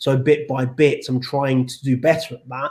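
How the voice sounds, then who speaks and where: Fairly high pitch in a man's speech. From England, Northampton. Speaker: TV news reporter and presenter. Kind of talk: interview, casual explanation. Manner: fast when reading aloud.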